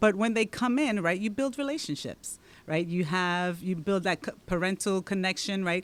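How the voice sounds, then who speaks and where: A woman with a Dominican accent speaks at a moderate pace in a fairly low voice, her intonation lively, on a very clean recording with a silent background. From Dominican Republic. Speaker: local politician and teacher. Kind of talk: podcast interview.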